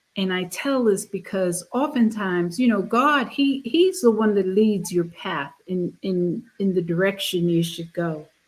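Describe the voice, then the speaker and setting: A woman's somewhat breathy, medium-pitched voice at a fairly slow pace, with lively intonation, hardly any pauses and a very clean recording with a silent background. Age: 70s. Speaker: pastor and painter. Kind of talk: casual chat.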